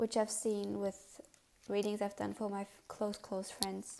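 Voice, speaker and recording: In a non-native accent, a woman is speaking. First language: not English. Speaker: tarot card reader. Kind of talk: pick a card tarot reading. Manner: casual, with fillers and self-corrections.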